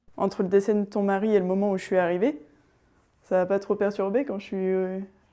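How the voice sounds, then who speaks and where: Against a quiet background, a woman with a medium-pitched voice and a dark, mellow tone speaks at a fairly quick pace with fairly even intonation. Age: 20s. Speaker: student in intergenerational home-share. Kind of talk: casual interview chat.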